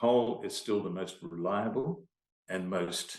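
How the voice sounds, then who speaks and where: This is a man speaking. His pitch sits fairly low. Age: 60s. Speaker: business owner in mining and energy. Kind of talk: podcast interview.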